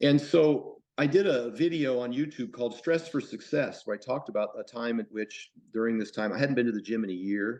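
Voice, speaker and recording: Here a man with an American accent talks at a fairly quick pace, barely pausing. His medium-pitched voice carries lively intonation. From United States. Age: 50s. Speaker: bodybuilder and powerlifter. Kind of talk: podcast interview. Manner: halting, with many fillers.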